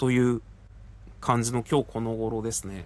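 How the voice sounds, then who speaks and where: A man at a medium pitch, speaking at a moderate pace. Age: 40s. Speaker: podcaster. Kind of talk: casual personal update monologue. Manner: conversational, rambling with fillers.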